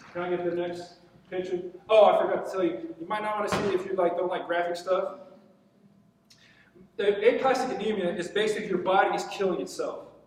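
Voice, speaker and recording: A man at a very fast pace with fairly even intonation, long, frequent pauses and audible room echo. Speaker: military veteran and patient giving testimony. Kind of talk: testimony talk. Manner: intense, passionate.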